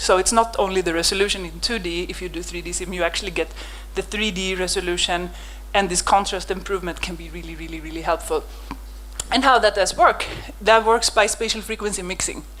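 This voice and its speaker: Speech comes at a very fast pace, with music playing in the background. The loudness swings widely. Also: woman. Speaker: microscopy researcher, lab head. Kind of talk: conference lecture. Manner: animated.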